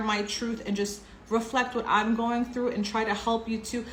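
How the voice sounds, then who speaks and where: Delivered at a fairly quick pace, the speech comes through noticeable background noise and audible room echo. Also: woman. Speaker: tarot reader. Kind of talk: tarot reading monologue. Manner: casual, chatty.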